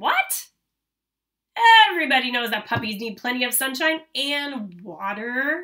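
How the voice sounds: A put-on character voice, bright and sharp in tone, with big pitch swings at a fairly slow pace. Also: woman, fairly high pitch for a woman.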